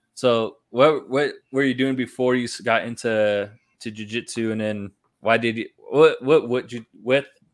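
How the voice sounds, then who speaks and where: In an American accent, a man speaks at a medium pitch. He has an unremarkable speaking voice and fairly even intonation. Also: fairly slow pace. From California. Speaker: podcast host, navy veteran. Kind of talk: casual chat. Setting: at home, in his son's room.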